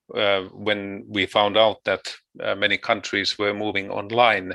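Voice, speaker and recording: A man with a Finnish accent speaks at a moderate pace and fairly low pitch, his tone bright and sharp and the sound dry and close with no echo. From Finland. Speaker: researcher. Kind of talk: online conference talk. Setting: video call. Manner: halting.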